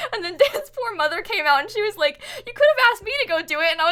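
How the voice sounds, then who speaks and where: A woman with an American accent speaks in a raised, projected voice at a fairly quick pace, her intonation lively. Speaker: Twitch streamer. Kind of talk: live stream casual chat.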